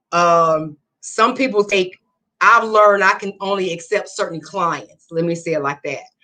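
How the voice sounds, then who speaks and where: Music plays behind a woman talking at a fairly slow pace. Her voice sits at a medium pitch with ordinary pitch variation. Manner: same forceful tone and cadence in every setting.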